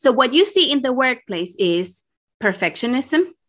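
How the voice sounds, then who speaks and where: A woman with a Spanish accent and very wide pitch swings. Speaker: executive coach. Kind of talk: interview. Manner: halting.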